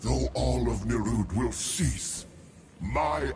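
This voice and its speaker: A man puts on a character voice and speaks at a very slow pace. Background noise is clearly audible. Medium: video game. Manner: slow, grave, formal.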